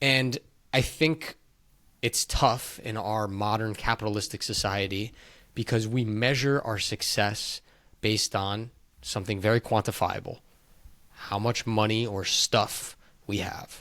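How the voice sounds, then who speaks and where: The tone is bright and sharp, the intonation fairly even. Long, frequent pauses break up the speech. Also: man, fairly low pitch for a man, very clean recording, silent background. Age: 30s. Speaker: podcast host. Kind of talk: casual chat.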